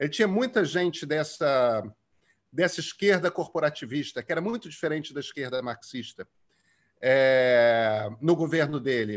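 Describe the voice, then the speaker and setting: A man's fairly high, lively voice at a fairly slow pace, an ordinary speaking voice over a quiet background. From Brazil, Rio de Janeiro. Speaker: journalist and author; journalist. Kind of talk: interview. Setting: video call. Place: home room. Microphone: earbuds.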